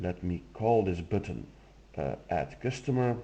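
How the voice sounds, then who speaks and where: A man with a Flemish accent speaks at a fairly slow pace, his dark, mellow tone carried by lively intonation. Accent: Flemish Dutch accent in English. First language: Dutch. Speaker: software demo presenter. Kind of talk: tutorial.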